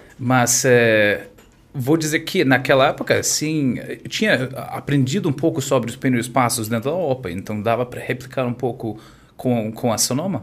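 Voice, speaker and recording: Here a man with an American accent talks at a moderate pace. His pitch is medium, with ordinary variation. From US, California (Orange County). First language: English (speaking Portuguese). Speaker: wine e-commerce entrepreneur. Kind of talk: interview. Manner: halting.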